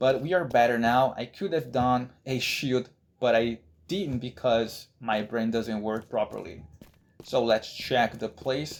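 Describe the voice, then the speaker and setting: Speech with a Brazilian accent moves at a fairly slow pace. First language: Brazilian Portuguese. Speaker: gaming YouTuber. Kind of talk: gameplay commentary. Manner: halting, with restarts and repetitions.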